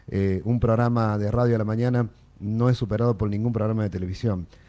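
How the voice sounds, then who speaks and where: Dark, mellow tone from a man speaking at a moderate pace. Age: 40s. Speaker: radio host. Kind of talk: casual chat.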